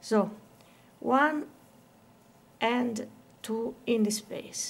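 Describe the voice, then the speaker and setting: A woman speaks with an Italian accent at a fairly high pitch. Her intonation stays fairly even. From Italy. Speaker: crochet teacher. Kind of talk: tutorial. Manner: slow, counting aloud.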